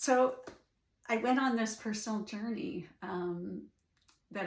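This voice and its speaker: A woman with a Canadian accent, somewhat breathy and fairly slow, with lively intonation and audible room echo. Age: 60s. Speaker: life coach. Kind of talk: personal story monologue. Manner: hesitant, many fillers.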